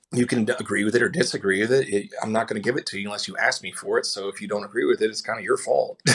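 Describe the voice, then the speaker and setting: Over noticeable background noise, a man with an American accent talks very fast with hardly any pauses. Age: 40s. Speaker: musician in a tribute band. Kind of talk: podcast interview.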